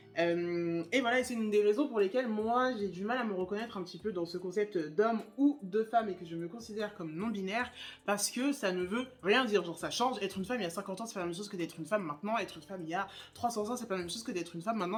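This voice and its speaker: Very fast speech comes from a woman with a medium-pitched voice and ordinary pitch variation. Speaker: YouTuber, spirituality content creator. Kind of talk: casual chat while doing makeup. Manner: casual, many fillers and restarts.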